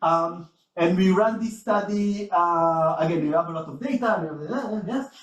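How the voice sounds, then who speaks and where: A man speaks here in a high pitch. His pitch varies in an ordinary way. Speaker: researcher. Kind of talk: conference talk. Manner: fast.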